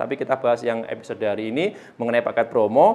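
Speaking at a very fast pace, the man's pitch swings very widely. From East Java, Indonesia. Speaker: airgun seller and channel host. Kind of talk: street-seller style sales pitch, promoting a freebie package. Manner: persuasive, upbeat, urging buyers to hurry; chatty, relaxed, slightly stumbling with fillers.

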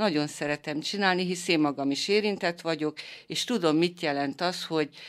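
A woman with a very deep, low pitch and ordinary pitch variation talks at a moderate pace on a very clean recording with a silent background. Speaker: foundation creative leader, cancer survivor. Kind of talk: interview. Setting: studio.

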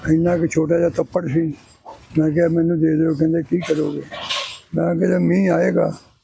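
A man keeps a very even loudness over noticeable background noise. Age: 80s+. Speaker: tea seller. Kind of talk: interview answer.

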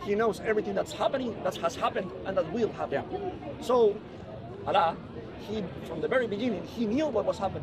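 A man with a high pitch, lively intonation and a fairly quick pace, over noticeable background noise. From Colombia. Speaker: atheist member of the public; questioner. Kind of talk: street debate. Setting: outdoors in a public park. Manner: halting. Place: open country. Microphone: camera far.

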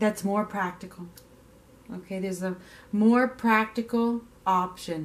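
A woman speaks at a fairly slow pace with fairly even intonation and long, frequent pauses. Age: 40s. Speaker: tarot reader. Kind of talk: tarot reading monologue. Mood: calm, gentle, reflective. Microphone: camera far.

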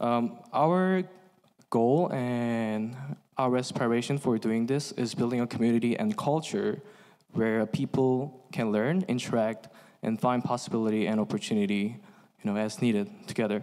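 A man's medium-pitched voice at a moderate pace, with very even loudness and ordinary pitch variation. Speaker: dental student and event organizer. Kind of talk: event introduction. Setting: stage with audience. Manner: halting.

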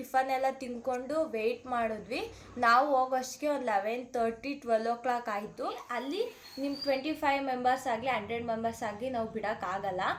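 Her pitch is high. This woman's pitch variation is ordinary. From Malavalli, Mandya district, Karnataka. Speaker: vlogger. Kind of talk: vlog narration of personal experience.

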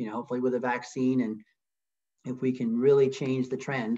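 A man rattles along at a very fast pace, and the background is quiet. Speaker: nonprofit founder and CEO. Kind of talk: webinar presentation. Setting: video call. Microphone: video call.

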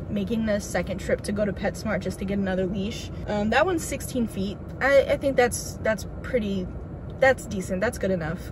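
The speech moves at a moderate pace over noticeable background noise. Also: woman, ordinary pitch variation. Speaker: vlogger. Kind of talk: casual vlog chat. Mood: relaxed, chatty. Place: car. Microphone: phone near.

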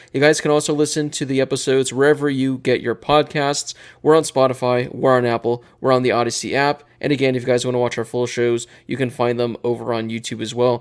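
Very fast pace from a man, monotone, flat intonation, quiet background. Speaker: podcast host. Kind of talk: sports podcast commentary. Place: home room. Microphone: studio mic.

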